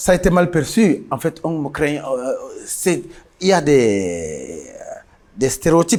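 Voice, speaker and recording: A man with a Cameroonian accent speaks at a very slow pace in a fairly high voice, with lively intonation and long, frequent pauses. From northern Cameroon, Mayo-Louti. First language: Guidar (speaking French). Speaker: musician. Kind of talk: interview.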